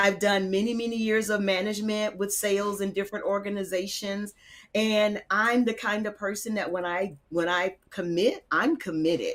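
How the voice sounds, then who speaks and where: A woman's fairly slow, medium-pitched delivery in an ordinary speaking voice, with ordinary pitch variation. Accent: American. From Georgia, US South. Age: 60s. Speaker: Air Force veteran, insurance agent. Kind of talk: podcast interview.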